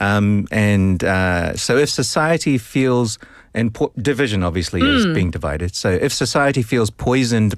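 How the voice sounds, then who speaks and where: In a New Zealand accent, the voice has lively intonation and very even loudness. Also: man, medium pitch for a man, moderate pace, very clean recording, silent background. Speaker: English teacher explaining vocabulary.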